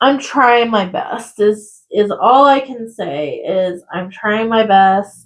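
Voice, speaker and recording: A soft-spoken woman talks at a very slow pace with hardly any pauses. Her fairly high pitch carries lively intonation. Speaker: crafting youtuber. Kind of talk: casual chat. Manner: gets loud when excited.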